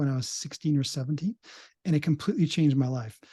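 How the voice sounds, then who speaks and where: Somewhat breathy and fairly high in pitch, a man speaks in a dark, mellow tone with ordinary pitch variation. The sound is dry and close, with no echo and a quiet background. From Canada. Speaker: psychologist. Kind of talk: interview. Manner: halting, many fillers and restarts.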